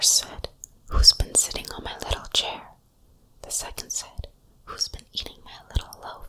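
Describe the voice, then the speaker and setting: Whispering with long, frequent pauses over noticeable background noise. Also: moderate pace. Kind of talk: fairy tale reading. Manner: whispered.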